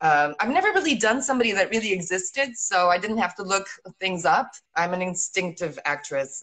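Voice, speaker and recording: A woman with an American accent speaks at a fairly quick pace and a medium pitch. Her intonation is lively, and the background is quiet. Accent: American-sounding English. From Italy (Rome), born in England. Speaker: actress. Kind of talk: casual interview. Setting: video call. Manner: animated. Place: home room. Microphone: video call.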